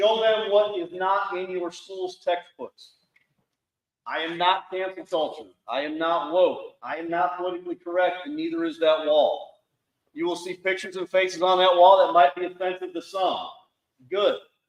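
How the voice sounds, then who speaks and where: A man speaks loudly at a moderate pace, his pitch high and his intonation fairly even. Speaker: Marine veteran, foundation founder. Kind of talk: speech to audience.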